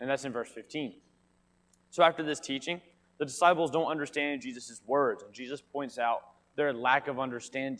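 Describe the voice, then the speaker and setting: Here a man has a fairly high pitch and ordinary pitch variation. He talks at a fairly quick pace. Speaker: Bible class teacher. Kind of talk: Bible class lesson. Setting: church classroom with mic. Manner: quiet.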